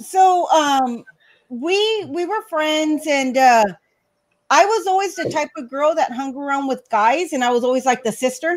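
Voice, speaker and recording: A loud woman with a high pitch and lively intonation, at a moderate pace, in a very clean recording with a silent background. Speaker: guest on live stream. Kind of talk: casual chat.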